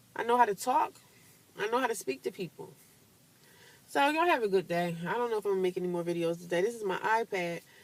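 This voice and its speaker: Speaking at a very fast pace with lively intonation, a woman leaves long, frequent pauses. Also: medium pitch for a woman. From rural US, country upbringing. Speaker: vlogger. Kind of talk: casual monologue vlog. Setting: self-recorded on tablet. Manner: halting, repeats words.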